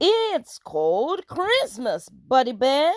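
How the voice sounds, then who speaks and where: In a put-on character voice, the speaker uses a raised, projected voice at a high pitch and a very slow pace. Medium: read story.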